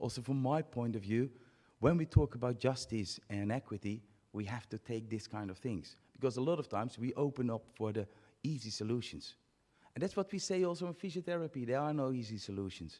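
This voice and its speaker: Moving at a fairly quick pace, a man with a Dutch accent speaks in a dark, mellow tone. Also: medium pitch for a man, lively intonation. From Netherlands. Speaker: physiotherapy academic, conference speaker. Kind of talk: conference talk. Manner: halting.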